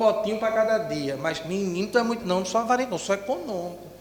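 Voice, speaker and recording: The intonation is fairly even, heard through noticeable background noise and audible room echo. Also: man. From Northeast Brazil, Recife. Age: 40s. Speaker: educator and spiritist speaker. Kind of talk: lecture.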